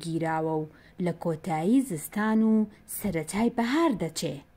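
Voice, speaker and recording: The voice is somewhat breathy, with a dark, mellow tone and a fairly slow pace. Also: woman. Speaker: narrator of a Kurdish textbook. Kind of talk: reading aloud. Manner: clear.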